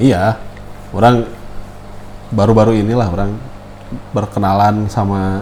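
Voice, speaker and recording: Amid noticeable background noise and audible room echo, a man speaks at a fairly slow pace in monotone, flat intonation, with long, frequent pauses. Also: fairly low pitch for a man. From West Java, Bandung. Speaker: podcast host. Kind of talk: casual chat.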